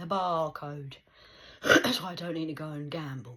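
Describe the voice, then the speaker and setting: A woman's very deep, low voice with an English accent at a fairly slow pace. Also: very clean recording, silent background. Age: 40s. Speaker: vlogger. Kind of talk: rambling monologue. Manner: animated.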